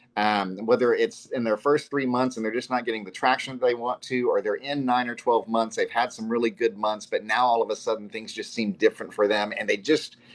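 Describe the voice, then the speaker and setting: Fairly quick speech from a man with hardly any pauses, over noticeable background noise. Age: 50s. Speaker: podcast host. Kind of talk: interview.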